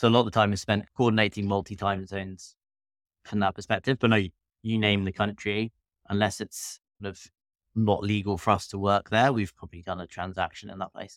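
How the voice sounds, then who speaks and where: In a British accent, a man talks at a fairly quick pace with fairly low pitch and flat, monotone intonation, his loudness swinging widely. The sound is dry and close with no echo, on a very clean recording with a silent background. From UK. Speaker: M&A firm founder. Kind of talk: interview.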